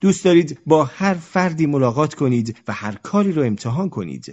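Talking at a fairly quick pace, a man with a fairly high voice makes very wide pitch swings. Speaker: audiobook narrator and podcaster. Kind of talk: reading aloud. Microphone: recording on a phone, voice recorder broke.

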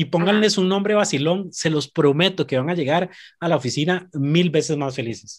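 The speaker has a Costa Rican accent and lively intonation at a fairly quick pace. The recording is very clean, with a silent background. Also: man. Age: 30s. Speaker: podcast guest. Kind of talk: casual chat.

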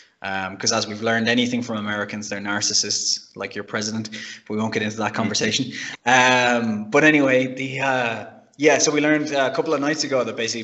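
Through noticeable background noise, a man of medium pitch talks at a fairly quick pace with fairly even intonation. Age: 30s. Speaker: car podcast panelist. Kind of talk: casual chat.

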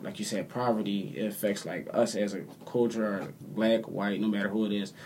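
A man in an American accent has an unremarkable speaking voice, fairly low pitch, ordinary pitch variation and a fairly quick pace. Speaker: podcast co-host. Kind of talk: casual chat.

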